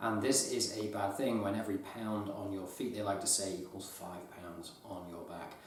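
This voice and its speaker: A man with a fairly low pitch talks at a moderate pace, with hardly any pauses and fairly even intonation. Noticeable background noise and audible room echo surround him. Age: 30s. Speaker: outdoor gear youtuber. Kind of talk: gear review. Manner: monotone.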